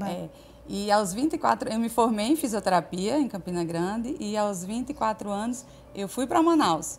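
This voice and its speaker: A woman speaks at a moderate pace in a fairly high pitch. Her intonation is lively, and her voice is somewhat breathy. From Paraíba, Brazil.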